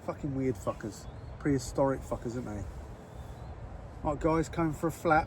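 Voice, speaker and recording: A man with an English accent speaks at a moderate pace in a fairly high, somewhat breathy voice, with ordinary pitch variation and long, frequent pauses. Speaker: carp angler vlogger. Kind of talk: casual vlog. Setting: outdoors. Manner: soft-spoken; quiet.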